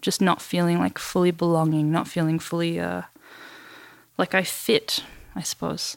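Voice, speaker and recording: A woman with an Australian accent speaks with long, frequent pauses on a very clean recording with a silent background. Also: moderate pace. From Western Australia, Perth. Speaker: photographer. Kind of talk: interview conversation.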